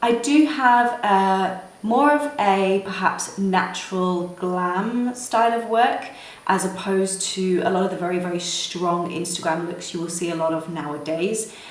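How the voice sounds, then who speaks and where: At a fairly slow pace and with ordinary pitch variation, the speech carries noticeable background noise and audible room echo. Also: woman, medium pitch for a woman. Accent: British. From United Kingdom. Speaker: makeup artist and beauty vlogger. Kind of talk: makeup tutorial. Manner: hesitant with fillers.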